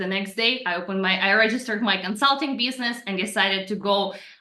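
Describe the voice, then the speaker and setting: Talking at a very fast pace, a woman with a Russian accent keeps her intonation fairly even. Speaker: personal branding coach. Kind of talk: podcast interview.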